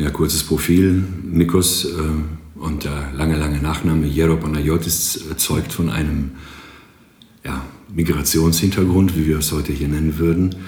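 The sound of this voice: The tone is slightly mellow, with fairly even intonation. The delivery is fairly slow. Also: man, extremely low pitch for a man.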